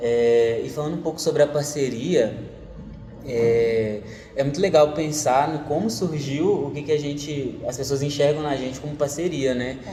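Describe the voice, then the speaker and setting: Against noticeable background noise and audible room echo, a man with a fairly high pitch speaks at a moderate pace with ordinary pitch variation. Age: 20s. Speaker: forró dance teacher and journalism student. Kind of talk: casual interview.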